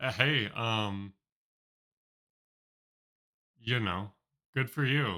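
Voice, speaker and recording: In a put-on character voice, a raspy man at medium pitch talks at a very slow pace with long, frequent pauses. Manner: smug, pompous.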